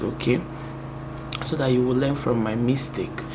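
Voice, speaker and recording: Through audible room echo and noticeable background noise, a woman with a very deep, low voice speaks in a monotone, flat intonation at a moderate pace. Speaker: YouTuber. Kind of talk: testimony. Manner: soft-spoken.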